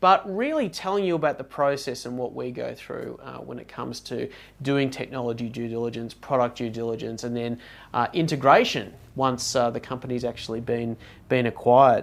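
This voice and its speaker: With an Australian accent, a man at medium pitch talks at a fairly quick pace, his loudness swinging widely. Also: ordinary pitch variation. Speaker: technology due diligence consultant. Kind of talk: casual podcast chat.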